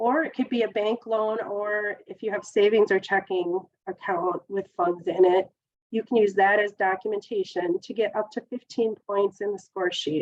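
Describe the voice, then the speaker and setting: Using an ordinary speaking voice at a medium pitch, a woman talks at a moderate pace with fairly even intonation, in a dry, close sound with no echo. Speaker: government grant program specialist. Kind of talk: webinar presentation. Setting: webinar.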